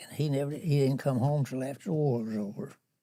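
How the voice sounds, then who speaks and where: This voice has a dark, mellow tone and ordinary pitch variation, captured on a very clean recording with a silent background. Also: man. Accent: Southern US. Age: 80s+. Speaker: war veteran. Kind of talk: interview answer.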